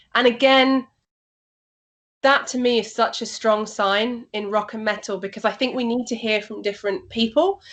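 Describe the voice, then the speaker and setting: The woman speaks with a Yorkshire accent at a fairly high pitch. The background is quiet. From Yorkshire, northern England. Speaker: rock and metal radio and TV presenter. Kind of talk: interview. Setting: video call.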